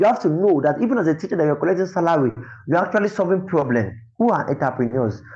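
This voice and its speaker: A man speaks at a very fast pace with a fairly high pitch and an animated tone. His intonation is lively, and the background is quiet. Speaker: teacher trainer. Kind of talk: webinar lecture. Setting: online webinar.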